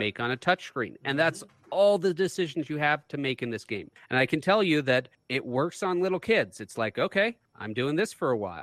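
A man speaks in a plain, everyday voice with a fairly high pitch and lively intonation. His pace is moderate, and the sound is dry and close with no echo. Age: 40s. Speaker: podcast co-host. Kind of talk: casual chat.

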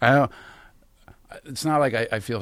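With vocal fry in his voice, a man talks using ordinary pitch variation. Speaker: podcast co-host. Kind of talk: casual chat.

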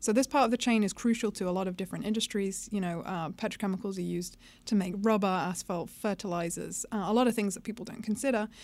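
Speaking at a very fast pace with hardly any pauses, a woman with a British accent and a medium pitch shows ordinary pitch variation in a very clean recording with a silent background. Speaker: investment analyst. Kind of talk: explanatory podcast discussion. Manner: hesitant, frequent uh fillers.

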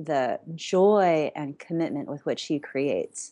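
Over a quiet background, a woman talks at a very slow pace with a very deep, low pitch. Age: 40s. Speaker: meditation and yoga teacher, former attorney. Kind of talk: casual chat.

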